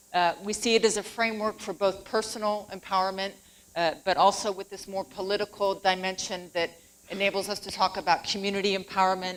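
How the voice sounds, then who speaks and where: Her delivery comes at a fairly quick pace, with big swings in loudness. This woman's medium-pitched voice keeps a monotone, flat intonation. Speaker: conference speaker, education advisor. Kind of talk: conference presentation. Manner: fast; hesitant, many fillers.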